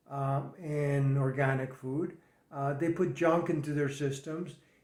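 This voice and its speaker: A man's somewhat breathy voice, fairly high in pitch, with fairly even intonation. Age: 70s. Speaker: fitness and nutrition coach. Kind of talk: monologue advice video.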